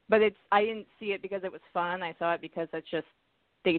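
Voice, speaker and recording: A woman's fairly low voice at a very fast pace, with fairly even intonation. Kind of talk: casual chat.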